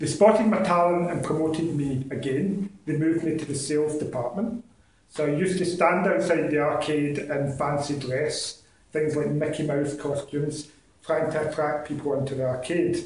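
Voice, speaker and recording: A man with a west of Scotland accent speaks, and his voice echoes audibly in the room. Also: fairly even intonation, moderate pace. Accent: west of Scotland Scottish. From Scotland, Ayr (west coast). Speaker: accountant giving a club speech. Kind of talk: prepared public speech. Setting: speaking club meeting with audience.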